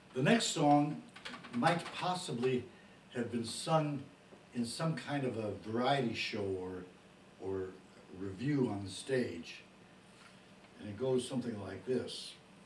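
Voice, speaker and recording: Speaking very slowly, a man leaves long, frequent pauses. Light background noise and audible room echo surround his voice. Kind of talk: spoken explanation between songs. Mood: warm, animated. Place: home room. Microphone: old recording.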